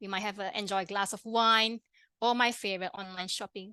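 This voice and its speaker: Bright, sharp, fairly high woman's voice with a Malaysian accent, dry and close with no echo, quiet background. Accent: interesting accent (Malaysian). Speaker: pharmacist and health coach. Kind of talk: webinar presentation. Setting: online webinar. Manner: fast; halting, many fillers and restarts.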